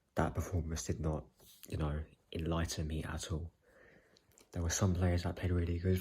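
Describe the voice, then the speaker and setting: A man speaks quietly in a very deep, low pitch, somewhat breathy, with a dark, mellow tone and monotone, flat intonation. Long, frequent pauses break up his speech on a very clean recording with a silent background. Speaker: football fan vlogger. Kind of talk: casual video commentary. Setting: at home, late evening. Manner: quiet, hushed.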